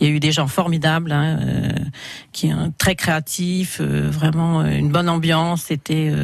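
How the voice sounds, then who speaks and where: Amid noticeable background noise, a woman speaks at a very slow pace with very even loudness and long, frequent pauses. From Burgundy, France (Vézelay, Yonne). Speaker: winegrower. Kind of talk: radio interview. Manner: halting.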